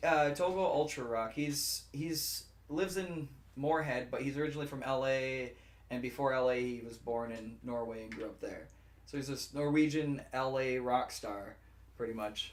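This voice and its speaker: A man talks at a moderate pace with a medium pitch and ordinary pitch variation. Noticeable background noise and audible room echo fill the recording. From Fort Berthold reservation, North Dakota. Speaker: musician. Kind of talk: casual interview chat. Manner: hesitant, many fillers.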